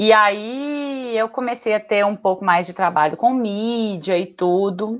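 A woman with a fairly high pitch talks at a very slow pace with hardly any pauses. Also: ordinary pitch variation. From Minas Gerais, Brazil (Betim, Belo Horizonte area). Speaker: marketing professional. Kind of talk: casual interview conversation.

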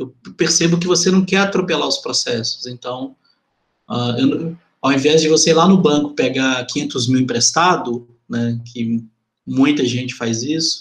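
A man speaks at a fairly slow pace with a somewhat breathy voice. His pitch is fairly high, with ordinary variation. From Venda Nova, Belo Horizonte, Brazil. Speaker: podcast host. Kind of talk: interview.

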